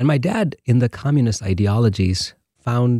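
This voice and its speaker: A man speaks at a moderate pace with ordinary pitch variation and a somewhat breathy voice, recorded dry and close with no echo in a very clean recording with a silent background. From India, Bangalore. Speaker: church missions director. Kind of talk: testimony.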